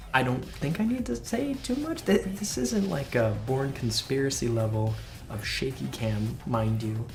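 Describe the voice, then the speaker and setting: The speaker talks at a fairly slow pace over music in the background. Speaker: gaming video creator. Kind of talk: casual talk to camera. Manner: enthusiastic.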